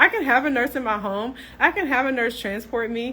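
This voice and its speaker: A fairly high-pitched woman with a Tennessee accent, bright and sharp in tone, animated, at a fairly quick pace with ordinary pitch variation. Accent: Tennessee Southern. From US South, Tennessee (Clarksville). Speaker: nurse entrepreneur, business coach. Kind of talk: live stream chat with viewers. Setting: live social media stream. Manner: animated, casual.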